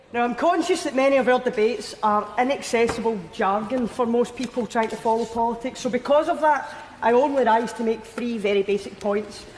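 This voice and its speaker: Speaking with a Scottish accent, a woman barely pauses at all. Noticeable background noise runs behind her. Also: fairly high pitch for a woman, ordinary pitch variation, fairly quick pace. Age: 20s. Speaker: politician. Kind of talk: parliamentary speech. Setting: debating chamber. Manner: impassioned, rousing.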